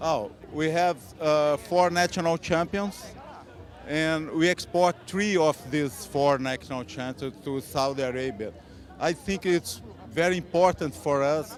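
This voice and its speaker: A man talks at a fairly slow pace with a non-native accent. His pitch is fairly high for a man, with ordinary pitch variation. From Brazil. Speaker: horse breeder. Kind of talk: interview. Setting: horse show. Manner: halting.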